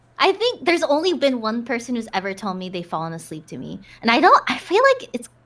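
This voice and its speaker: Very fast and animated, a high-pitched woman's voice leaps through very wide pitch swings and big jumps in loudness over noticeable background noise. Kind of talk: casual chat. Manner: animated, voice goes up and down.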